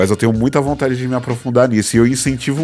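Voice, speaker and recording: Over music in the background, a man with a medium pitch speaks at a fairly quick pace. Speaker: podcast host. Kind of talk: casual chat.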